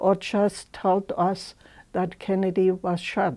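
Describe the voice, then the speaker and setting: Medium-pitched, dark and mellow woman's voice in a German accent over a quiet background. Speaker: senior center member recalling memories. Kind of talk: personal recollection. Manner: halting.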